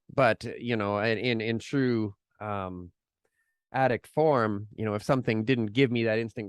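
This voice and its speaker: A man with a Canadian accent speaks at a moderate pace and medium pitch. The sound is dry and close with no echo, over a quiet background. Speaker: podcaster in recovery. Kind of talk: interview, personal recovery story. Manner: casual, hesitant with fillers.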